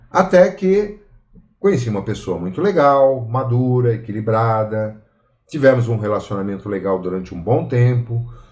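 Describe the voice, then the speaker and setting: This man has a normal speaking voice with a medium pitch. He talks at a moderate pace with lively intonation. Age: 60s. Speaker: study group participant. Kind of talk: personal testimony.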